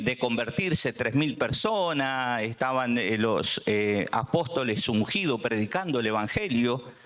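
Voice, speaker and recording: A man with a Buenos Aires accent at a very slow pace, with very wide pitch swings. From Argentina, Buenos Aires. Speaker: preacher. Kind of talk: sermon. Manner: halting, many fillers.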